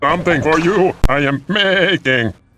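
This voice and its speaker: A man speaks in a put-on character voice with a fairly high pitch. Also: moderate pace. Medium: video game. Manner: broken grammar, grovelling.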